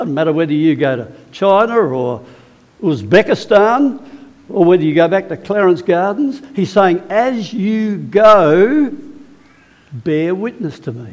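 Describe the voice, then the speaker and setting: A man speaks in a high voice at a fairly slow pace, his pitch swinging very widely. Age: 70s. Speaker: preacher. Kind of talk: sermon. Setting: church.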